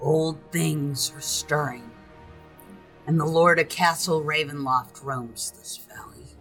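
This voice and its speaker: Over clear background music, a woman puts on a raspy character voice, very deep and low, speaking at a fairly slow pace. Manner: ominous, warning.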